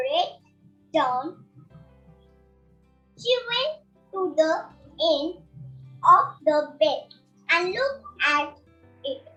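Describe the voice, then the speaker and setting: An extremely high, put-on character voice moves at a very slow pace. Faint music plays in the background. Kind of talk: fairy tale narration. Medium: stage play. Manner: descriptive, measured.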